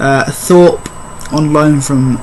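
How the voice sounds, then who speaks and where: Noticeable background noise runs under this recording of a man. He has a fairly high voice and speaks very slowly. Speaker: football YouTuber. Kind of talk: casual predictions monologue. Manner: halting. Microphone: poor audio.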